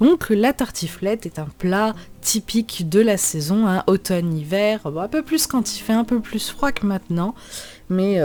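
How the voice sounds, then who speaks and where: Speaking at a fairly slow pace, a woman with medium pitch makes very wide pitch swings. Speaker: cooking youtuber. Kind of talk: tutorial. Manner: casual, hesitant.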